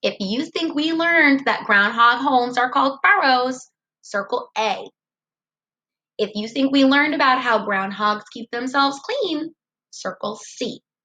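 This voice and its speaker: A woman speaks at a fairly slow pace in a high pitch with lively intonation. Her tone is bright and sharp, and her voice is raised and projected. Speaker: first grade teacher. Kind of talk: tutorial. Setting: recorded video lesson. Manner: clear, instructive tone for young children.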